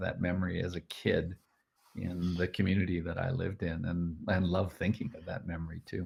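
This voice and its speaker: At a fairly quick pace, a man with a Canadian accent talks in a very deep, low pitch, somewhat breathy, with fairly even intonation. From Canada, Edmonton, Alberta. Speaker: group facilitator. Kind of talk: interview. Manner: hesitant, many fillers.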